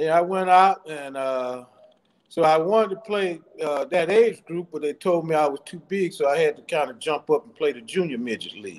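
A man's voice at a moderate pace, with ordinary pitch variation and big swings in loudness. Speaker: guest. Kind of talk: interview answer. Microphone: video call.

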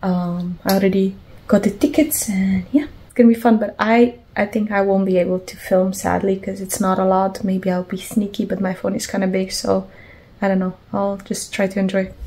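A woman with a dark, mellow tone and a somewhat breathy voice talks at a moderate pace, her intonation fairly even. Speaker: vlogger. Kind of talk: casual vlog chat. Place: home room. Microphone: phone near.

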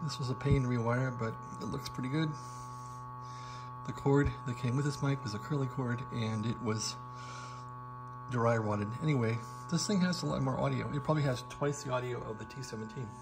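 Music plays in the background as a man talks at a fairly quick pace. His pitch variation is ordinary. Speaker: radio hobbyist. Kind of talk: casual demo talk. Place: home room.

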